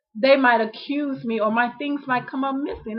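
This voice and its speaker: At a moderate pace, a woman speaks with a high pitch. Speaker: vlogger. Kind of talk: personal video diary. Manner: mumbling; halting.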